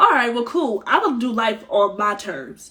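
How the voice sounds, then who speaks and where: A woman speaks loudly in a bright, sharp tone. Her pitch varies in an ordinary way. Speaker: spiritual healer and live-stream host. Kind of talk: casual live-stream chat. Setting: Instagram live stream. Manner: animated.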